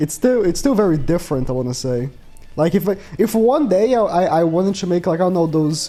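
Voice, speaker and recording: A man speaks at a fairly quick pace with a high pitch and lively intonation. Music plays in the background. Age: 20s. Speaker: gaming YouTuber. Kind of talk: casual chat. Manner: casual, hesitant with repetitions.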